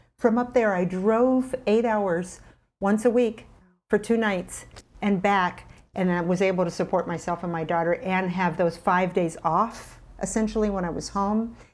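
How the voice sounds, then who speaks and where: A woman with a plain, everyday voice speaks at a moderate pace and medium pitch with ordinary pitch variation, in a very clean recording with a silent background. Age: 50s. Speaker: plant-based chef and health coach. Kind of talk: casual interview chat.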